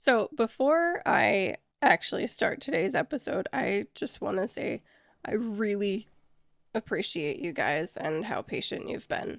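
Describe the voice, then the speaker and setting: With vocal fry and very wide pitch swings, a woman speaks at a fairly slow pace. The recording is very clean, the background silent, and the sound dry and close with no echo. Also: medium pitch for a woman. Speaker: podcast host. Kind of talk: podcast monologue.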